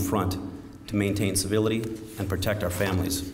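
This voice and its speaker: Here a man speaks at a fairly low pitch. His intonation is monotone and flat. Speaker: county sheriff. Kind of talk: memorial service keynote speech.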